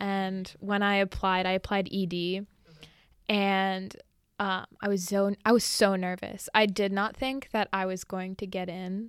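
Monotone, flat intonation at a fairly slow pace, on a very clean recording with a silent background. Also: woman, medium pitch for a woman. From greater New York area. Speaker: college student. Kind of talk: casual chat.

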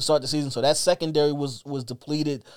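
Speaking in a New York accent, a man with a fairly high voice talks in an animated tone. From Brooklyn, New York. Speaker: sports podcast co-host. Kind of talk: casual sports talk. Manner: halting, repeats words.

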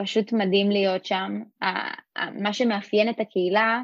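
Fairly slow pace with monotone, flat intonation. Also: woman. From Israel, Rosh HaAyin. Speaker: former community emissary. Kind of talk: interview.

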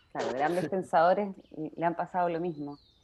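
A woman is speaking. She has a Chilean accent. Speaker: podcast host, astrology writer. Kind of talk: interview conversation.

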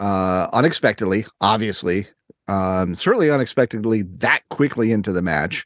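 Over a quiet background, a man talks at a fairly slow pace with lively intonation. The sound is dry and close, with no echo. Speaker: podcast co-host. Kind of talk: casual chat. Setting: remote recording, Tallahassee.

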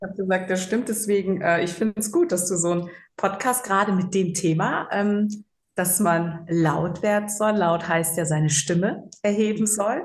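At a moderate pace, a woman speaks in a somewhat breathy voice with fairly even intonation. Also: medium pitch for a woman. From Germany, Cologne. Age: 40s. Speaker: psychological counselor. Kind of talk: interview.

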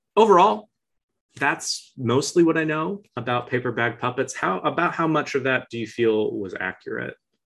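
Over a quiet background, a man with an ordinary speaking voice talks at a moderate pace in a medium pitch. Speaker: podcast host. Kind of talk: casual comedic interview. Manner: deadpan, playful.

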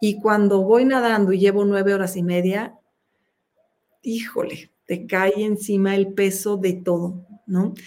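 A woman speaks at a fairly slow pace in a medium pitch. Her intonation stays monotone and flat. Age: 50s. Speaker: open-water swimmer. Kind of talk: interview.

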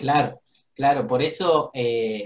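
Ordinary pitch variation marks this man's voice. He speaks at a medium pitch. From Argentina. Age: 20s. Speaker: network marketing entrepreneur. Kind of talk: motivational business talk. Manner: slow.

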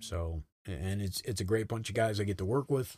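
With an American accent, a man speaks at a moderate pace. His voice is somewhat breathy, with fairly even intonation. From Rhode Island, US. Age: 50s. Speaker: retired army sergeant major. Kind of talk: casual interview over drinks.

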